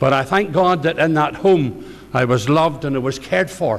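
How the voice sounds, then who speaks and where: Speaking with a Northern Irish accent, a man talks in a fairly high voice. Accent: Northern Irish (Ballymena). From Northern Ireland, County Antrim (near Ballymena). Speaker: pastor. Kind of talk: testimony.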